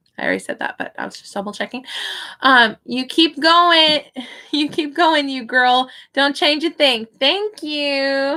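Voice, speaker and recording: Speaking fairly slowly with long, frequent pauses, a woman with an American accent uses a raised, projected voice, high in pitch and bright and sharp in tone, with ordinary pitch variation. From US Midwest, Kansas City. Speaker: online English tutor and live streamer. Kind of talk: casual live stream chat reading comments. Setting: live stream at computer.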